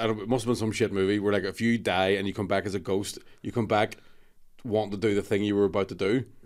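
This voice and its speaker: Speaking very fast with a Scottish accent, a man keeps a fairly low pitch and a monotone, flat intonation. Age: 30s. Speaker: comedian. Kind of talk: casual chat.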